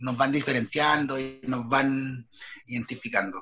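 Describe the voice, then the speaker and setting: A fairly slow, fairly even delivery in a Chilean accent. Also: man. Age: 30s. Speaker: theatre artist and writer. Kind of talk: personal testimony interview.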